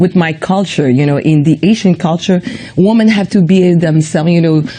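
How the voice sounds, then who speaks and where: At a fairly quick pace, a woman speaks with a fairly low pitch and ordinary pitch variation. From Quebec, Montreal. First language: French. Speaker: comedian. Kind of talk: interview. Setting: studio.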